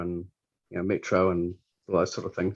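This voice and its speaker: A man is speaking. He has a New Zealand accent. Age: 60s. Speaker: library scanner operator. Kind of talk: interview. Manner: halting.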